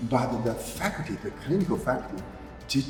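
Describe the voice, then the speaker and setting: Music plays behind a man speaking with a Chinese accent. His medium pitch carries lively intonation at a moderate pace. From China. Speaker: medical doctor. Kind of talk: interview answer.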